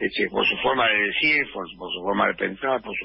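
A man with lively intonation. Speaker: actor and writer. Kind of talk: radio interview.

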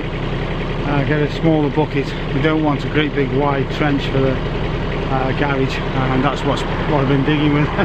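A man's voice in a dry sound with no echo, over loud background noise. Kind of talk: casual vlog chat. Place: street. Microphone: phone near.

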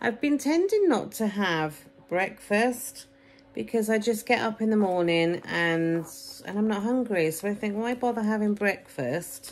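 A woman's fairly high voice with an English accent, lively intonation, and a fairly slow pace. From England. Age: 40s. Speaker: vlogger documenting weight loss. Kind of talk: casual vlog to camera. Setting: at home with children around. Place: home room. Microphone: phone near.

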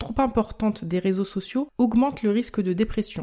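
A somewhat breathy voice with a dark, mellow tone moves at a moderate pace with ordinary pitch variation. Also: woman. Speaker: health podcaster and blogger. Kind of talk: scripted educational monologue.

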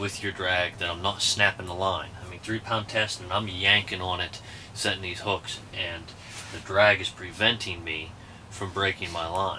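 Over light background noise, a man speaks at a moderate pace with a very deep, low pitch and monotone, flat intonation. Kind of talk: tutorial. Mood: relaxed, joking. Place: tent. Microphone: camera far.

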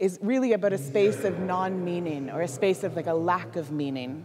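Noticeable background noise sits under a woman's voice. She talks at a fairly slow pace with very wide pitch swings. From Canada. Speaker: artist. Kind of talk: presentation with slides. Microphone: handheld.

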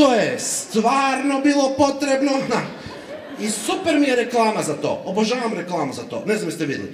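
A man talks at a moderate pace with lively intonation and an extremely high pitch. Audible room echo and light background noise accompany him. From Zagreb, Croatia; Croatia. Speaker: stand-up comedian. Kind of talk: stand-up. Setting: stage with audience. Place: stage.

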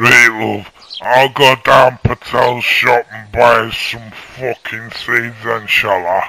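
Using a put-on character voice, a man talks very slowly at medium pitch in a flat monotone. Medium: fan dub. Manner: swearing, defensive, lazy.

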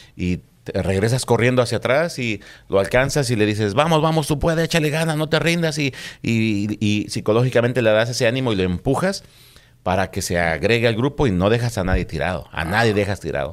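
Over a quiet background, a man talks at a fairly quick pace with very wide pitch swings. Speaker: police officer; guest. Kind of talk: casual chat. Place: studio. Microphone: studio mic.

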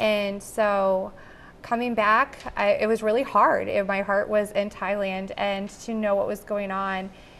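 Speaking in an American accent, a woman keeps a fairly slow pace and monotone, flat intonation. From Dubuque, Iowa, US Midwest; Iowa. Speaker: anti-trafficking nonprofit board member; guest. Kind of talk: TV interview. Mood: earnest, heartfelt. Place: studio.

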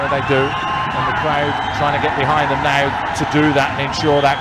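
The speaker is a man. Loud background noise is present throughout. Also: dry sound with no echo. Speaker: co-commentator, match analyst. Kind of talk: commentary.

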